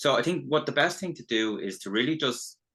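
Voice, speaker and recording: Over a quiet background, a man with an Irish accent speaks at a moderate pace in a bright, sharp tone with very wide pitch swings. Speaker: business development consultant. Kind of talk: webinar presentation. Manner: halting, many false starts.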